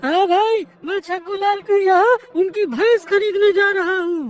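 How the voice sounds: A cartoonish character voice pitched extremely high. It moves at a moderate pace.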